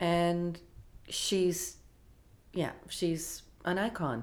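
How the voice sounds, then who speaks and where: A woman with a Canadian accent speaks very slowly in a fairly low pitch with ordinary pitch variation, and room echo is audible. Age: 60s. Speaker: film festival executive. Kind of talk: interview.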